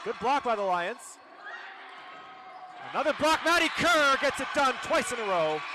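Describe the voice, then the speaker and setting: With noticeable background noise behind him, a man speaks in a raised, projected voice at a moderate pace, with very wide pitch swings and long, frequent pauses. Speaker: play-by-play sports commentator. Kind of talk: live commentary. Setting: gym with loud crowd. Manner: loud, shouting.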